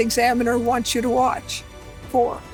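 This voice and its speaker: A woman talks at a high pitch with music playing in the background. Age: 80s+. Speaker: healthcare patient. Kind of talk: testimonial interview answer.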